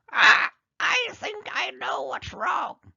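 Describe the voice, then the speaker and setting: A man puts on a squeaky character voice. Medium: read story.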